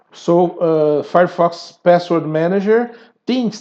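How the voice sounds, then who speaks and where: Speaking with a non-native accent, a man uses a high pitch with ordinary pitch variation. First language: not English. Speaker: tutorial creator. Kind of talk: tutorial. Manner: halting.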